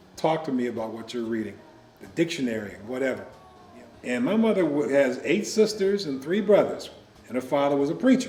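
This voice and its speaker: Over noticeable background noise and audible room echo, a man talks at a fairly quick pace in a fairly high pitch with very wide pitch swings. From US Midwest, Joliet, Illinois. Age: 70s. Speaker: retired teacher and college professor. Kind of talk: interview.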